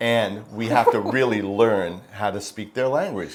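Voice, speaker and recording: Here a man talks at a moderate pace. His voice sits at a fairly low pitch. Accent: New York. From New York. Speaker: retiree vlogger. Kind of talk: casual chat.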